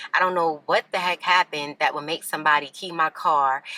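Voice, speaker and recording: A woman talks at a fairly quick pace over noticeable background noise. The sound is dry and close, with no echo. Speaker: lifestyle vlogger. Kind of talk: casual vlog. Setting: outdoors in a parking lot. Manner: fast.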